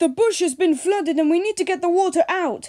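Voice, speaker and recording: Using a put-on character voice, a woman talks at a fairly quick pace in an extremely high pitch. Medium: read story. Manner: gentle, reassuring.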